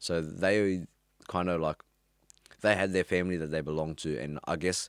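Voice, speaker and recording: Moderate pace in an Australian accent, with fairly even intonation, a dry, close sound with no echo and a very clean recording over a silent background. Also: man. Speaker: former drug dealer. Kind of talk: interview. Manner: casual, hesitant.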